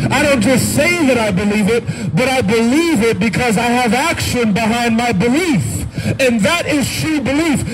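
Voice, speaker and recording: Speaking at a moderate pace with very even loudness and lively intonation, a man uses an extremely high voice over noticeable background noise. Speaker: street preacher. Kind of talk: street sermon. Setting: outdoors. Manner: earnest, urgent pleading; repetitive, emphatic, with frequent amens. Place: street.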